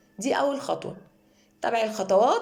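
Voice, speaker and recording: A woman's lively intonation amid audible room echo. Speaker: cooking channel host. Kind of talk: cooking tutorial.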